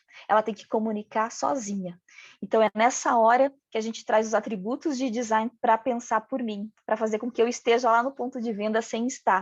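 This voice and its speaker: A fairly high-pitched woman's voice with a regional Brazilian accent, at a moderate pace with fairly even intonation, in a dry, close sound with no echo and a quiet background. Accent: noticeable regional Brazilian. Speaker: packaging design speaker. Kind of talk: lecture.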